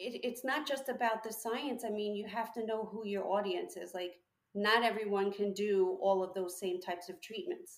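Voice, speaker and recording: A woman speaks at a moderate pace in a fairly high voice, a plain, everyday voice with ordinary pitch variation. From New York. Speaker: licensed esthetician and aesthetics instructor. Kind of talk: casual interview chat. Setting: remote call.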